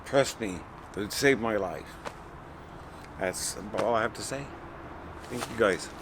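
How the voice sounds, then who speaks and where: Noticeable background noise accompanies a man at a medium pitch. He speaks at a fairly slow pace with ordinary pitch variation. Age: 50s. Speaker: program participant in addiction recovery. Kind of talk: testimony.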